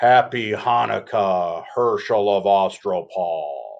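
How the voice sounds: A man does a put-on character voice. It sits at a fairly low pitch.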